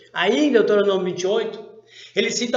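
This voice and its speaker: Moderately paced male speech, high in pitch, with some echo from the room. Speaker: Bible teacher. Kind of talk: Bible study lesson.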